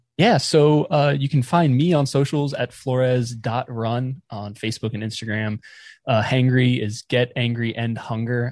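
A man with an American accent speaks at a moderate pace in an unremarkable speaking voice, medium in pitch and fairly even in intonation, against a quiet background. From North Carolina (near Raleigh). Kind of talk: interview.

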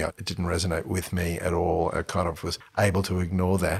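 A man's very deep, low voice, somewhat breathy, at a fairly quick pace on a very clean recording with a silent background. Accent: Australian. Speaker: entrepreneur. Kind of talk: casual chat. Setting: host's home studio. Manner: animated.

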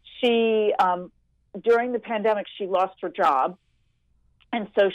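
At a fairly slow pace, a woman with an ordinary speaking voice talks at a medium pitch, the sound dry and close with no echo. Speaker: nurse and health journalist. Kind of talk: casual radio interview.

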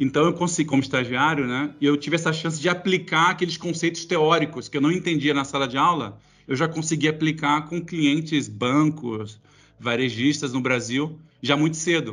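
A man with a normal speaking voice, fairly high in pitch, at a moderate pace with fairly even intonation. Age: 40s. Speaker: tech company executive. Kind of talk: interview. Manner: casual.

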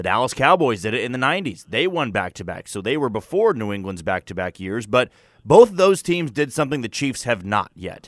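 A man's normal speaking voice, lively in intonation and fairly quick, in a very clean recording with a silent background and a dry, close sound with no echo. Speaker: sports radio co-host. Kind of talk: casual sports talk. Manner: conversational, analytical.

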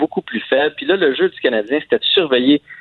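This is a man speaking at a fairly high pitch. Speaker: radio host, hockey commentator. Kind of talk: casual chat.

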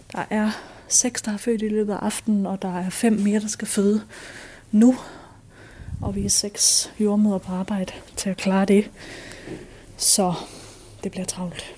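A woman speaks at a fairly slow pace with long, frequent pauses, at a medium pitch and in a monotone, flat intonation. Her voice is somewhat breathy, with a dark, mellow tone. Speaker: midwife. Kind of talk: audio diary.

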